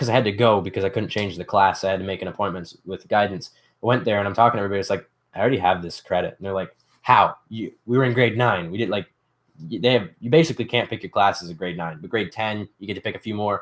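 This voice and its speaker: With a Canadian accent, the speaker goes at a very fast pace with ordinary pitch variation. The recording is very clean, with a silent background. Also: man, fairly low pitch for a man. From Canada, Ontario. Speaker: DIY youtuber. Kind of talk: casual livestream chat. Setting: livestream from workshop.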